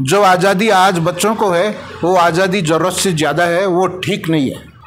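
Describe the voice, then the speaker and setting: A man talks with fairly even intonation amid audible room echo and noticeable background noise. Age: 70s. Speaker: voter interviewed in street poll. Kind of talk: vox pop interview.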